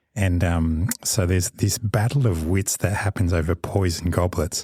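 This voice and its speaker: A man with a very deep, low pitch and a dark, mellow, somewhat breathy tone speaks at a moderate pace with ordinary pitch variation and very even loudness, in a dry, close sound with no echo. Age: middle-aged. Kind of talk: casual chat. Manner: halting, with many fillers.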